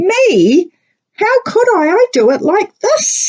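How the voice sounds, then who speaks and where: In a put-on character voice, a woman squeaks at an extremely high pitch, speaking very slowly with very wide pitch swings. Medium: read story. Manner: matter-of-fact.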